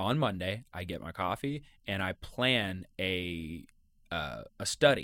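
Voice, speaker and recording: A man with a very deep, low pitch, vocal fry, and a bright, sharp tone speaks at a very slow pace with very wide pitch swings. The recording is very clean, with a silent background. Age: 20s. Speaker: podcast host. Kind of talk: casual chat.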